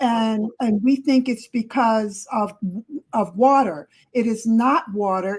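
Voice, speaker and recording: A somewhat breathy woman's voice at a fairly high pitch and a very slow pace, with ordinary pitch variation. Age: 70s. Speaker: family member guest. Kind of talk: casual chat. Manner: insistent, emphatic.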